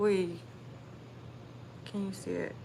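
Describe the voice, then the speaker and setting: Audible room echo surrounds a woman with an American accent. She speaks in a medium pitch at a fairly slow pace. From Texas. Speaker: livestreamer. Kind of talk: casual livestream chat.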